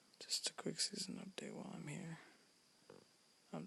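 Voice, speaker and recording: Whispering, a man speaks at a moderate pace. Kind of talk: casual gaming commentary, pack opening. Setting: home recording at night. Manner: whispered.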